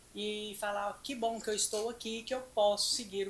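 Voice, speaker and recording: A woman's fairly high-pitched voice against noticeable background noise. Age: 70s. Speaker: nutritionist. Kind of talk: casual chat. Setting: studio.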